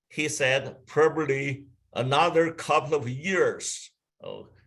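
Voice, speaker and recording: A man with a Chinese accent speaks at a very slow pace, his pitch fairly high and his pitch variation ordinary. His tone is bright and sharp. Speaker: travel company executive. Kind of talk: webinar presentation. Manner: halting.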